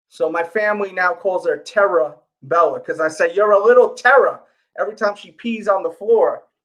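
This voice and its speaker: Speaking at a fairly quick pace with a New York accent, a man with a high pitch sounds animated, his loudness swinging widely while his pitch variation stays ordinary. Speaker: sneaker YouTuber and livestream host. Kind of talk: casual livestream chat. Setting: live stream.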